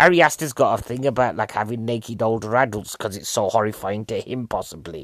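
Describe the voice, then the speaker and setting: In a very clean recording with a silent background, a man with an English accent talks at a fairly quick pace. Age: 40s. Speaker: comedian. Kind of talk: casual film review monologue.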